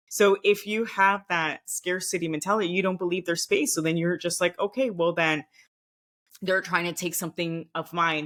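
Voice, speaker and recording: Speaking with a Miami accent, a woman uses a fairly low pitch and ordinary pitch variation, recorded with a dry, close sound and no echo. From Nicaragua, raised partly in Costa Rica and Venezuela. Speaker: former diplomat. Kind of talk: podcast interview.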